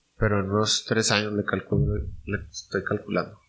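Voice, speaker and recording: This man's pitch is medium, and his pace is fairly slow. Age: 30s. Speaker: small business owner. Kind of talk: casual interview chat.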